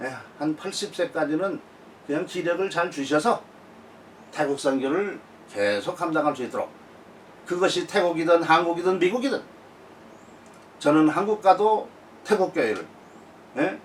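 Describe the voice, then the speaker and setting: Lively intonation runs through speech at a moderate pace broken by long, frequent pauses. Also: man, high pitch for a man. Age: 70s. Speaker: missionary. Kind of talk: casual monologue / testimony. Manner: halting, frequent fillers.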